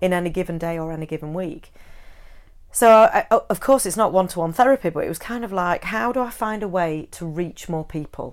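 The woman has a plain, everyday voice with a medium pitch and lively intonation, moving at a fairly quick pace with big swings in loudness. The recording is very clean with a silent background. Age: 40s. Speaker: counsellor and psychotherapist. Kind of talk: interview conversation.

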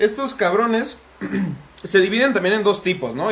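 Male speaker, Mexican accent. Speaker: podcast host and content creator. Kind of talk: casual chat.

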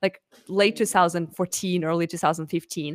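A woman's fairly low pitch and fairly even intonation, with a Russian accent, on a very clean recording with a silent background and a dry, close sound with no echo. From Russia (Moscow). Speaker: marketing lead for a streaming platform. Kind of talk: interview.

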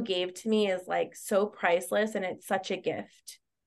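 A woman speaks at a medium pitch in a monotone, flat delivery with vocal fry. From South America. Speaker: grieving client. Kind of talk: testimony.

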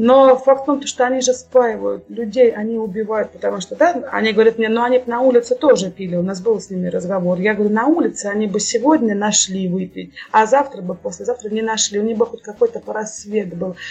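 A fairly quick pace with hardly any pauses and ordinary pitch variation, over noticeable background noise. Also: woman, fairly high pitch for a woman. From Russia, Kursk region. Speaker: charity volunteer organizer. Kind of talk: podcast interview. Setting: video call.

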